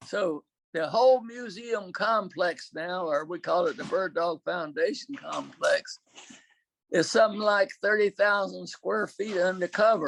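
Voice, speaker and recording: With a Southern US accent, a man talks fairly slowly at a high pitch with ordinary pitch variation, the sound dry and close with no echo. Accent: Southern American. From Southern United States. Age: 80s+. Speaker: war veteran. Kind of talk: interview answer. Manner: hesitant, filler-heavy.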